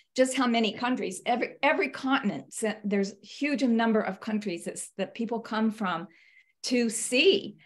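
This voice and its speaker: Against a quiet background, a woman talks at a fairly quick pace in a fairly high, somewhat breathy voice with ordinary pitch variation. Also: big swings in loudness. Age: 70s. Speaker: trip participant giving report back. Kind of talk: presentation with slides on a video call. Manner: halting, many fillers.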